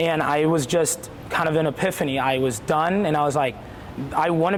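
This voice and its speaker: Over noticeable background noise and audible room echo, a man talks at a moderate pace in an energetic tone with a fairly high pitch. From Puerto Rico. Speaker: elementary school PE teacher. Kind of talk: interview. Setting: school gymnasium.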